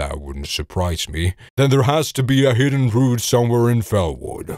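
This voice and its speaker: At a moderate pace, a man performs a put-on character voice at medium pitch. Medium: read story. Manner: gruff, blunt.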